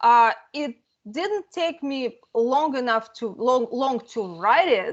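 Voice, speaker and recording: At a very slow pace, a woman with a Russian accent speaks in a high pitch with lively intonation. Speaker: fantasy author. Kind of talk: interview.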